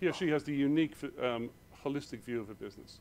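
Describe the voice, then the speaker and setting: On a very clean recording with a silent background, a man with an Irish accent speaks at a medium pitch and a fairly quick pace with ordinary pitch variation. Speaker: accountancy speaker. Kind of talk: conference presentation. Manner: fast.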